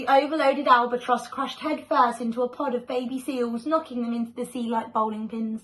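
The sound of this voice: Ordinary pitch variation and a fairly bright tone. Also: woman.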